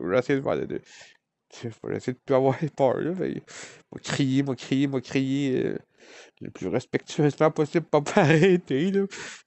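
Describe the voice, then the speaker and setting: A man with a Quebec accent speaks at a very slow pace and a fairly high pitch, with ordinary pitch variation, in a quiet background with dry sound and no echo. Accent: Québécois French. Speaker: vlogger. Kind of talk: personal confession. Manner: loud. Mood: emotional, reflective about the past. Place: home room. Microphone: phone near.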